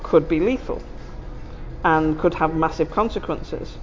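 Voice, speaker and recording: Music plays in the background as a woman talks at a fairly quick pace in a fairly low pitch. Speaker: therapist. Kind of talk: casual chat. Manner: loud.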